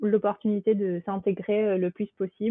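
A woman is talking. Her voice sits at a medium pitch. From southern France, Toulouse. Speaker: accountant. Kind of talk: interview. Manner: hesitant, many fillers.

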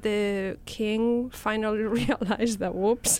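A woman with a Spanish accent, at a very slow pace and with ordinary pitch variation. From Spain. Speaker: professor. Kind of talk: casual interview.

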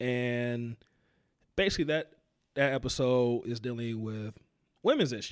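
Speaking slowly with long, frequent pauses, a man with an American accent talks at a medium pitch with ordinary pitch variation. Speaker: podcast host. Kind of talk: casual interview chat.

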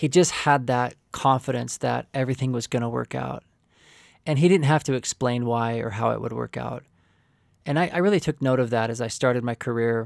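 A man speaks in an ordinary speaking voice with ordinary pitch variation. The sound is dry and close with no echo, in a very clean recording with a silent background. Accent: American. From Oklahoma (rural), from age seven. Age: 40s. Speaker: marriage and family therapist. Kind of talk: interview testimony.

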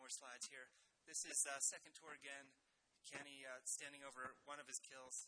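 Natural reading voice

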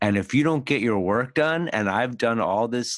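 In a very clean recording with a silent background and a dry, close sound with no echo, a man with an ordinary speaking voice and an American accent talks at a fairly quick pace with lively intonation. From US Northeast, Philadelphia. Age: 50s. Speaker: podcast host and agile trainer. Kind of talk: casual interview chat.

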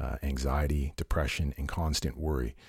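A man speaks in a very deep, low pitch, somewhat breathy, at a moderate pace. The recording is very clean, with a silent background. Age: 40s. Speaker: fitness podcast host. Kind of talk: solo informational talk.

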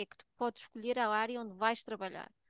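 At a moderate pace, a woman with a fairly high pitch and an unremarkable speaking voice is heard in a dry, close sound with no echo. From Portugal. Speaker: nurse and health researcher. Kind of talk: casual chat.

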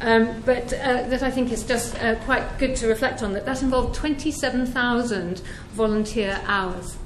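At a fairly slow pace, a woman with a high pitch speaks in fairly even intonation over noticeable background noise. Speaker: prison course tutor and charity trustee. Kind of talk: talk to an audience at an event.

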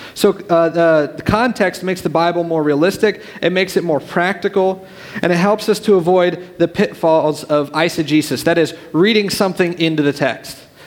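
A man's high-pitched voice with fairly even intonation, over noticeable background noise. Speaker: youth pastor. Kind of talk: sermon. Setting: church. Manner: fast.

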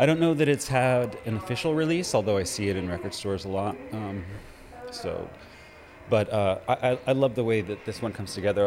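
Over noticeable background noise, a man talks at a very fast pace in a fairly low pitch with ordinary pitch variation. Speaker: radio host. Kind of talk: radio DJ patter between records, themed music show. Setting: radio studio. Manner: casual, rambling; relaxed, informal, with filler words and self-corrections.

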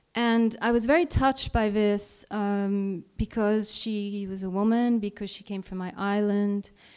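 A woman with an Italian accent and fairly even intonation at a fairly slow pace, in a very clean recording with a silent background. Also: medium pitch for a woman, hardly any pauses. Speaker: freelance journalist. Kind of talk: live talk to an audience. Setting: stage with audience.

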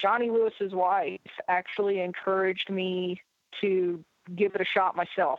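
A woman talks at a moderate pace in an unremarkable speaking voice. Her pitch sits in the middle range, and her intonation stays fairly even. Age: 40s. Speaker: race promoter. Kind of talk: casual chat. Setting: phone call.

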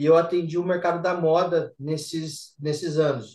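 A man with a plain, everyday voice, fairly high pitch and a fairly slow pace. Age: 40s. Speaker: systems analyst. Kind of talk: casual chat.

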